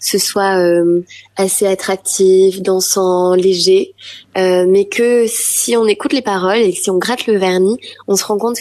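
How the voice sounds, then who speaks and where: This woman talks at a fairly slow pace and medium pitch. Her intonation stays fairly even. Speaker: pop singer-songwriter. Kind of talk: interview answer.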